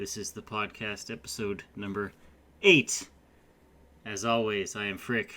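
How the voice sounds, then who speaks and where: The speaker is a man with a fairly low pitch. He talks at a fairly slow pace. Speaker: gaming podcast co-host. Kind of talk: casual podcast chat. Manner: loud.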